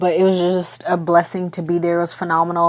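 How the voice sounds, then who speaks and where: A woman talking at a very fast pace in a fairly low pitch. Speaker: faith podcast host. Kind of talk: casual talk.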